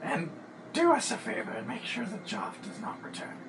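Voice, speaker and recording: A put-on character voice at a fairly high pitch and moderate pace, over loud background noise. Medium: actual play.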